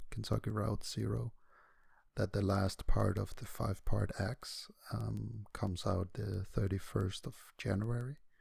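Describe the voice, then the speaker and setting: A soft-spoken man with a dark, mellow tone, fairly low pitch, vocal fry, ordinary pitch variation and a fairly slow pace. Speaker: gaming commentator. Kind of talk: casual let's play commentary.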